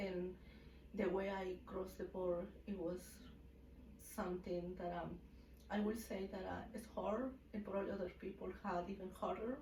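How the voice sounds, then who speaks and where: A woman speaks at a moderate pace in a Mexican accent, her medium-pitched voice fairly even in intonation, with long, frequent pauses. Noticeable background noise and audible room echo fill the recording. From Mexico City. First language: Spanish. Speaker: hair salon owner. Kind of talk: casual interview. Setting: livestream.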